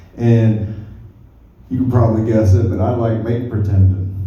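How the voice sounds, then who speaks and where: In a Southern US accent, a man talks at a moderate pace and medium pitch with monotone, flat intonation and audible room echo. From rural US South. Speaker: stand-up comedian. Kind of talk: stand-up. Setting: stage with audience.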